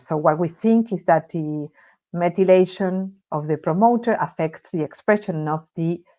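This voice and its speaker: Over a quiet background, a woman speaks with a fairly low pitch and a dark, mellow tone. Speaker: researcher. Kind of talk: lecture. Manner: halting.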